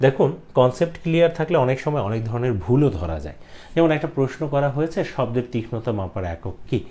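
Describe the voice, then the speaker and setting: A somewhat breathy male voice of medium pitch, dark and mellow in tone, with very wide pitch swings. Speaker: teacher. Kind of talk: lecture.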